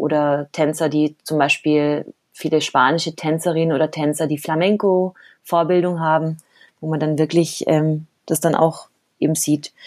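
A woman with a very deep, low pitch speaks in a monotone, flat intonation at a fairly slow pace, with long, frequent pauses, on a very clean recording with a silent background. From Colombia (Cali) until age 10, then Germany. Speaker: professional salsa dancer and teacher. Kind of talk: casual interview chat.

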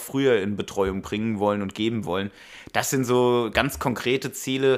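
At a moderate pace, a man speaks in an unremarkable speaking voice with a medium pitch and ordinary pitch variation, in a very clean recording with a silent background. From Hanau, Hesse, Germany. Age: 30s. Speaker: local politician. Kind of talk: interview.

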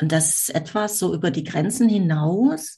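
At a very slow pace, a woman speaks in a somewhat breathy voice of fairly low pitch. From Germany, Düsseldorf. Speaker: marketing mentor. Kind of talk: casual interview.

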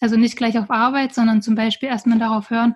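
A woman with a fairly high voice talks in a monotone, flat intonation. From rural Brandenburg, Germany. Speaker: herbal naturopath. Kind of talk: interview.

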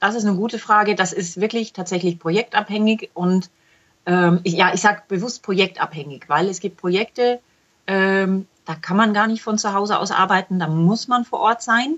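Her pace is moderate. The woman's pitch shifts in an ordinary way. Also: medium pitch for a woman. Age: 40s. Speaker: self-employed clinical trial quality assurance consultant. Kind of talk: interview. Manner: repeats words often, halting.

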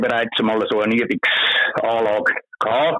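A man's medium-pitched voice moves along at a fairly slow pace. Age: 60s. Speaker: street magazine vendor. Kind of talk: interview. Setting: phone call.

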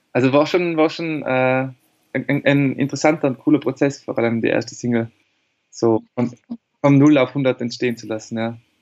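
A man with medium pitch and fairly even intonation speaks at a moderate pace in an ordinary speaking voice. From Austria, Tyrol. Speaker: singer-songwriter. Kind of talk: interview.

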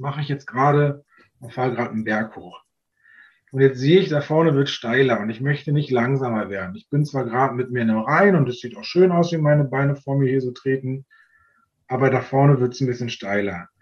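A man speaks very fast at medium pitch, his voice somewhat breathy. His loudness swings widely. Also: ordinary pitch variation. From Berlin area, Germany. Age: 40s. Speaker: tour guide and long-term traveller. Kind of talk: casual interview.

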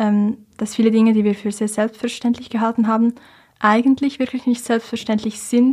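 At a moderate pace, a woman speaks in a somewhat breathy, fairly high voice with monotone, flat intonation. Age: young (19). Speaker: climate activist. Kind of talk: interview.

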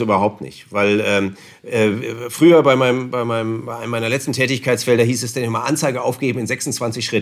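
With a northern German accent, a man speaks at a medium pitch and fairly quick pace, his intonation fairly even and with hardly any pauses. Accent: non-Bavarian, northern German. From northern Germany, Osnabrück area. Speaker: newspaper publishing executive. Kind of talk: interview. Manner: formal.

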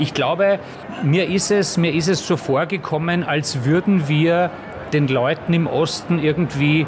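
A man in a Viennese accent at a very slow pace, with ordinary pitch variation and noticeable background noise. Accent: Viennese Austrian. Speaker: journalist and author. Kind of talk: casual chat.

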